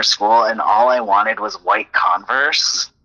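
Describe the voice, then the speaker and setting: A man with an American accent talks at a moderate pace in a medium pitch, in a normal speaking voice. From Arizona, Tucson. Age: 30s. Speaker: librarian. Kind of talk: casual chat.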